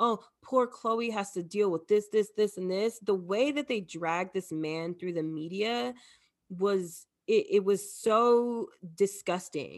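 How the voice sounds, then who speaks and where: A woman at a medium pitch and a very slow pace, on a very clean recording with a silent background. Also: ordinary pitch variation. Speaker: podcast co-host. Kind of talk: casual chat.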